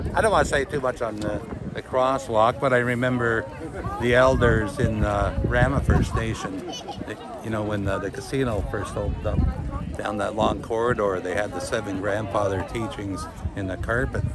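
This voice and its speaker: A man at a moderate pace with ordinary pitch variation, dry sound with no echo and loud background noise. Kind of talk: interview answer. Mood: calm, reflective. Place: street. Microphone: phone near.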